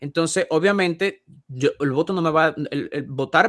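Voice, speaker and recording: A man's fairly high voice with ordinary pitch variation, in a very clean recording with a silent background and a dry, close sound with no echo. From Dominican Republic. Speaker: Bible teacher. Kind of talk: panel discussion. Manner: fast; halting.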